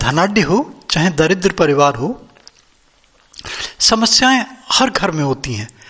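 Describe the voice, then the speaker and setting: This man's pitch swings very widely as he talks. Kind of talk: casual talk to camera, spiritual explanation.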